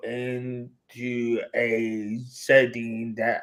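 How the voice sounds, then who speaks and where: This man speaks at a medium pitch. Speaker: minister and theologian. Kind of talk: panel discussion. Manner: halting.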